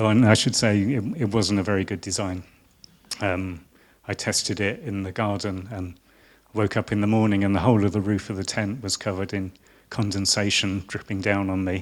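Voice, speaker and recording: A man's fairly low voice in a southern English accent, at a fairly quick pace with fairly even intonation. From southern England (Hertfordshire). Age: 50s. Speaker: designer. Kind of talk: lecture. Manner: halting.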